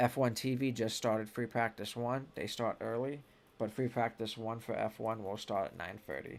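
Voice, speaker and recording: At a moderate pace, a man speaks in a medium pitch on a very clean recording with a silent background. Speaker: sports show host. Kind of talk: casual live-stream commentary. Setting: live stream. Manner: casual, filler-heavy.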